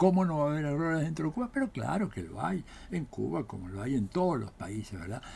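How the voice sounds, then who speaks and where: A man talks at a fairly quick pace in a dark, mellow, somewhat breathy tone, his pitch swinging very widely. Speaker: political scientist. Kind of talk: political commentary monologue. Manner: animated.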